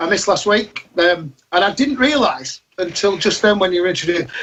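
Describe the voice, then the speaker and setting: Speaking with a Yorkshire accent, a man uses a high pitch with ordinary pitch variation. His pace is fairly quick and his loudness very even. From Yorkshire, northern England. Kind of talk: casual panel chat. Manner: animated.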